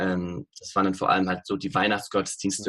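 A man's normal speaking voice at a fairly low pitch. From Bavaria, Munich. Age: 20s. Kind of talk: interview. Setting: remote call.

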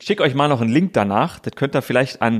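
In a very clean recording with a silent background, a man's voice comes through. He sits at a medium pitch and uses lively intonation. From Brandenburg, Königs Wusterhausen near Berlin. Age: 30s. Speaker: sports TV presenter. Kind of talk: casual interview chat.

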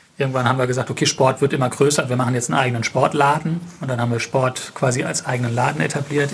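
This man talks at a very fast pace with fairly even intonation. Noticeable background noise runs behind him. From Germany, Mannheim. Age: 30s. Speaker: family business owner, retailer. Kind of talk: interview. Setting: on location at the store. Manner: hesitant, many filler sounds.

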